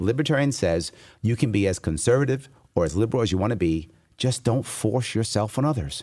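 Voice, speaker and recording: A man with a New York accent talks at a very fast pace and medium pitch, with very wide pitch swings and vocal fry. The background is quiet. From New York City. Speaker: political candidate for governor. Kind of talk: interview. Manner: fast talker.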